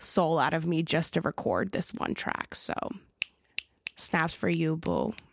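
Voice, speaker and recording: This woman's pitch is very deep and low, with vocal fry and an American accent. Her voice sounds dry and close, with no echo. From Philadelphia, US. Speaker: podcast host, music historian. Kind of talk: casual solo podcast commentary. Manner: animated.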